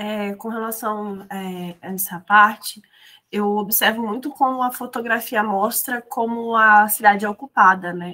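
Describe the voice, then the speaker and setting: A woman's fairly high voice sounds bright and sharp, with fairly even intonation. She talks at a fairly slow pace, with big swings in loudness. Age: 20s. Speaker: photographer and architecture student. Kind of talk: casual chat.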